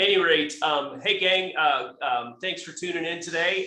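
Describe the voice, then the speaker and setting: High-pitched male speech with ordinary pitch variation, audible room echo and noticeable background noise. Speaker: company tech expert presenter. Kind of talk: webinar presentation. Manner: fast; hesitant, many fillers and restarts.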